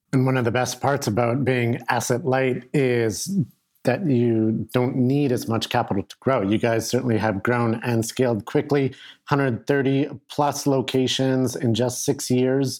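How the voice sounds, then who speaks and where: Over a very clean recording with a silent background, a man talks at a fairly slow pace in a plain, everyday voice. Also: medium pitch for a man, fairly even intonation. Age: young. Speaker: podcast host. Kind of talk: interview.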